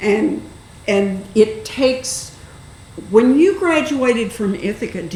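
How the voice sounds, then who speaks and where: A woman speaks fairly slowly with lively intonation. Audible room echo and noticeable background noise fill the recording. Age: 80s+. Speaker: public access TV host. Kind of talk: casual interview.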